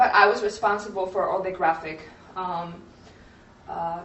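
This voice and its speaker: A woman at a moderate pace amid audible room echo and noticeable background noise. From Poland. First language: Polish. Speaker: graphic designer, creative studio owner. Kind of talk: conference presentation. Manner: halting, many fillers.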